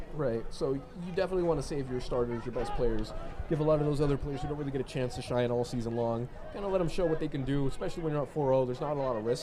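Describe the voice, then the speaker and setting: Someone speaks at a very fast pace amid noticeable background noise and audible room echo. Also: man, fairly high pitch for a man, ordinary pitch variation. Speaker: soccer commentator. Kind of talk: live commentary. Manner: casual, conversational.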